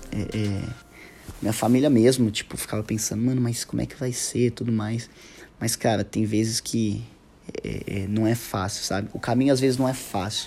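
A man's dark, mellow tone at medium pitch, monotone and flat in intonation. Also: moderate pace. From São Paulo, Brazil. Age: 30s. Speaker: guitarist. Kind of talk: casual monologue. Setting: hotel room. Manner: halting.

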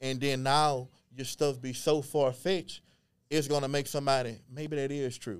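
A man with a fairly high pitch talks at a moderate pace in an ordinary speaking voice, keeping his intonation fairly even. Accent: American. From Beaumont, Texas. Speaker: genealogist and historian. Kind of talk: casual interview chat.

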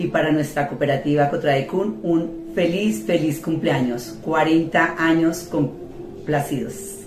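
A very slow pace with hardly any pauses, ordinary pitch variation and very even loudness, set against music in the background. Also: woman, very deep, low pitch for a woman. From Colombia, Cundinamarca (Anolaima). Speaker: cooperative board member. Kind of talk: recorded greeting message.

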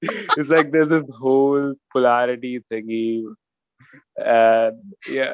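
A speaker with an Indian accent uses ordinary pitch variation, recorded with a dry, close sound and no echo. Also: man. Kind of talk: casual chat.

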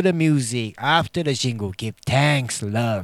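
A man's relaxed, warm voice has very wide pitch swings. The sound is dry and close with no echo, on a very clean recording with a silent background.

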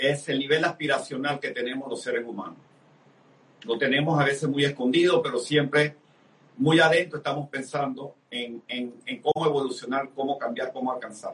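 A man's fairly high voice at a moderate pace, fairly even in intonation, over noticeable background noise. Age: 60s. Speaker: business speaker and network marketing leader. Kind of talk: interview.

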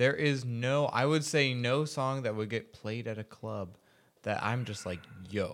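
A man with a plain, everyday voice talks at a medium pitch and fairly slow pace with ordinary pitch variation. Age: 20s. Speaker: podcast guest. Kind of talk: casual chat.

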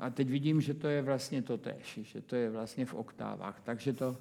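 The man's voice sits at a medium pitch, with a dark, mellow tone and fairly even intonation. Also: hardly any pauses. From Czech Republic, Brno. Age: 80s+. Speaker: composer. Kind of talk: casual chat. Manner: halting.

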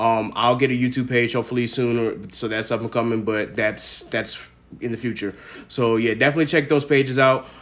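With an unremarkable speaking voice, a man talks at a fairly quick pace and medium pitch, keeping his intonation fairly even. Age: 20s. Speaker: podcast host. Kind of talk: casual chat.

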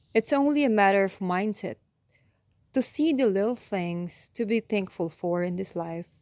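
A woman speaks at a medium pitch in an unremarkable speaking voice, her intonation lively. The sound is dry and close with no echo, and the recording is very clean over a silent background. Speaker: meditation guide. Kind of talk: guided meditation. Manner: slow, soothing and calm; gentle, measured pace with long pauses between cues.

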